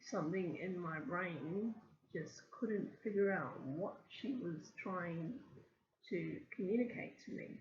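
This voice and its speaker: A woman with a medium pitch speaks very slowly, pausing long and often. Her voice is somewhat breathy, with lively intonation. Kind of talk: casual talk to camera. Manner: halting, many ums and stammers.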